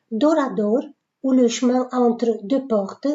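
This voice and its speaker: The speaker moves at a very slow pace with fairly even intonation. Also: woman. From Romania (Bucharest). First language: Romanian (speaking French). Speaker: writer. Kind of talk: self-presentation. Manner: hesitant, with frequent fillers.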